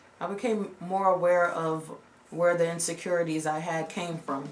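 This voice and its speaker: Against noticeable background noise, a woman with a fairly low pitch speaks very slowly in a monotone, flat intonation. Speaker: lifestyle vlogger. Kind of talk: casual talk to camera.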